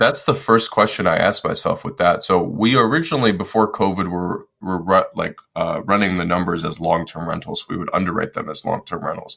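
A man with a Midwestern American accent at a moderate pace, on a very clean recording with a silent background. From US Midwest, Detroit, Michigan. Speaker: real estate investor and Marine Corps veteran. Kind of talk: interview conversation.

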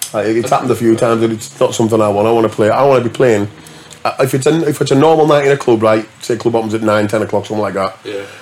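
Over noticeable background noise, a man with a northern English accent speaks very fast. His pitch is medium, with ordinary variation. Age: 40s. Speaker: DJ. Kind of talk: casual chat.

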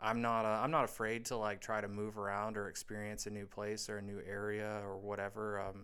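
A soft-spoken man with an American accent talks at a fairly quick pace with hardly any pauses. His fairly low voice has a bright, sharp tone and a monotone, flat intonation. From US Midwest, Indiana. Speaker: Navy serviceman. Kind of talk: casual chat. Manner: halting.

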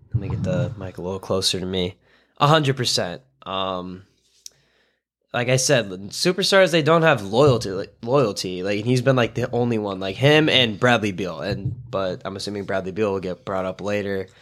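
In a very clean recording with a silent background, a man speaks at a moderate pace with a fairly low pitch and lively intonation. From US Midwest, Chicago suburbs. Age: young. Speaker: sports fan guest, incoming pre-med student. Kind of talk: casual chat. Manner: animated.

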